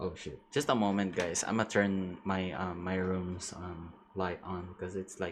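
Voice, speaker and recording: A man with an American accent speaks at a very deep, low pitch with fairly even intonation. His pace is fairly slow, with hardly any pauses. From outside the US. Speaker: vtuber streamer. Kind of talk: casual live stream chat. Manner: halting, hesitant.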